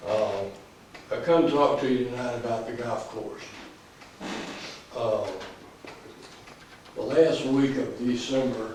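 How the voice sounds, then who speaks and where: A man speaks very slowly in a Southern US accent, with long, frequent pauses. Audible room echo and noticeable background noise fill the recording. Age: 80s+. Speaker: resident speaking at council meeting. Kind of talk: public comment at council meeting. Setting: city council meeting. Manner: halting, many fillers.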